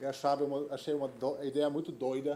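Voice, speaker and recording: A man with a fairly high pitch and a dark, mellow tone. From Germany. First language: German (speaking Portuguese). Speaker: innovation executive. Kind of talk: conference talk. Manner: halting, many fillers.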